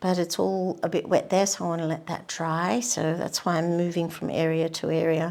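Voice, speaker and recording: The speaker talks at a moderate pace with ordinary pitch variation. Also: woman. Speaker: painting tutor. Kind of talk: painting demonstration. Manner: casual; soft-spoken.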